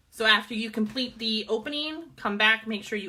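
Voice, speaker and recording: Her tone is bright and sharp, with vocal fry at a fairly high pitch. The woman speaks at a moderate pace with ordinary pitch variation. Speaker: middle school math teacher. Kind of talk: online class lesson.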